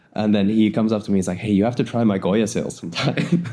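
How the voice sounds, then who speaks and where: A man is speaking at a medium pitch. His pace is fairly quick. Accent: Californian. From US West Coast, San Francisco Bay Area. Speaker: windsurfer and wing foiler. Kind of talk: casual chat.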